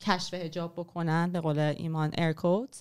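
A woman speaks at a moderate pace in a fairly low voice, her intonation flat and monotone. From Iran. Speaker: writer and former journalist; podcast guest. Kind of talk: history talk in casual podcast chat. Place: studio. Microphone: studio mic.

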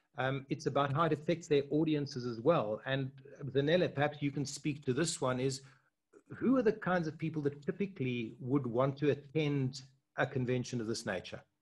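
At a moderate pace, a man speaks at medium pitch with ordinary pitch variation, his slightly mellow tone carrying a slightly husky edge.

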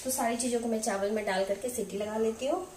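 Clear background noise sits behind a woman with a fairly high pitch. She talks at a fast pace with fairly even intonation.

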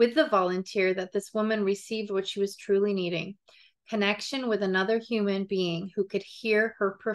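An unforced reading voice, its intonation fairly level

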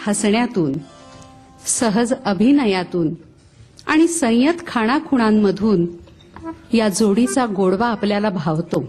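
A woman's fairly high voice with very wide pitch swings, faint music in the background. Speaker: voice-over artist. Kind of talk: music show commentary narration. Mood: warm, expressive. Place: stage. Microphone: handheld.

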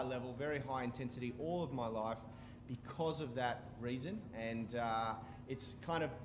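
A man speaks with ordinary pitch variation at a moderate pace, and noticeable background noise runs beneath him. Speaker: fitness stream host. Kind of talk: casual live stream talk. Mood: earnest, heartfelt. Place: gym. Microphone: headset.

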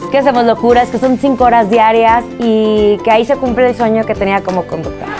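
Clear music plays in the background as a woman speaks at a fairly high pitch. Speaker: TV and radio host. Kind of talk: casual talk to camera. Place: studio.

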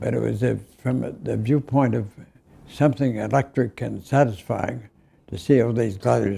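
With vocal fry and ordinary pitch variation, a man talks at a fairly low pitch and moderate pace. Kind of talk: interview answer. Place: studio.

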